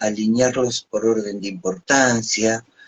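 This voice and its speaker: A man's monotone, flat delivery at medium pitch, very slow in pace. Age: 60s. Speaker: psychologist and NLP trainer. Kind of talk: live stream interview.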